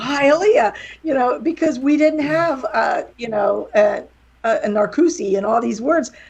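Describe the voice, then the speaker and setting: A slight Southern US accent, very wide pitch swings and a fairly slow pace. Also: woman. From West Virginia, near Pittsburgh. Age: 50s. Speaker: wrestling promoter and author. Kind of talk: casual chat.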